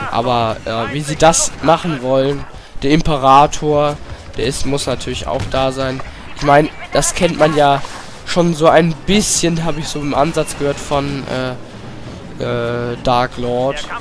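There is noticeable background noise. A man speaks at a fairly high pitch and a very slow pace, with fairly even intonation. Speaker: gaming YouTuber. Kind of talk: let's play commentary. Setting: home room with headset.

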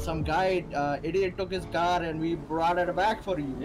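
Over noticeable background noise, a high-pitched man speaks at a fairly slow pace with fairly even intonation. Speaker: online game roleplay player.

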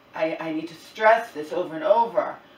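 Fairly slow speech from a woman amid audible room echo. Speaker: vlogger. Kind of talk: casual vlog chat. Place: kitchen. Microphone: camera far.

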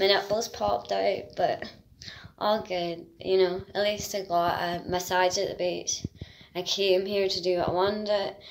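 A woman speaks at a fairly slow pace with a Northern Irish accent and fairly even intonation, over light background noise. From Northern Ireland. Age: 30s. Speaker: vlogger; travel vlogger. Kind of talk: casual travel vlog; casual vlog chat. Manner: stumbling over words. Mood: cheerful, chatty.

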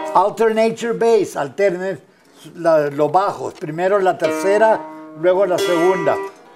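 Over clear background music, a man talks at a moderate pace in a high pitch with ordinary pitch variation. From Northern New Mexico. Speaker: folk musician and music teacher. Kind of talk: bilingual guitar lesson instruction. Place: classroom.

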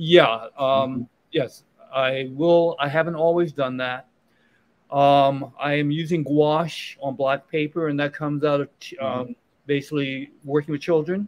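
A plain, everyday voice: a man with an American accent, fairly high in pitch, at a moderate pace with fairly even intonation. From Virginia. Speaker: painter. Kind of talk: casual interview. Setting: live show at a restaurant.

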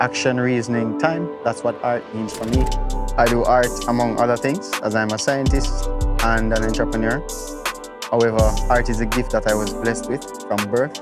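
Clear music plays in the background as a man speaks at a moderate pace, the sound dry with no echo. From Jamaica. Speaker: visual artist, muralist. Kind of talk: interview answer. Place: street. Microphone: lapel.

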